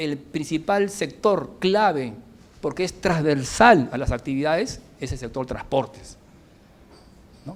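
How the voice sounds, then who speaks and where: A plain, everyday voice with lively intonation. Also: man. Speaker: civil engineer, former minister giving a lecture. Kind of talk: lecture.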